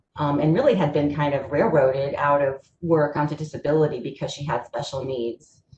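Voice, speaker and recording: A woman is talking here. There is a somewhat breathy quality to her voice. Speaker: presenter on kidney patient employment. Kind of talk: webinar presentation. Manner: fast.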